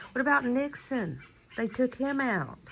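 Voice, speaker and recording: A woman's high-pitched, bright and sharp voice in a Southern US accent, at a fairly slow pace with ordinary pitch variation. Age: 50s. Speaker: vlogger. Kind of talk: casual monologue. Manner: animated.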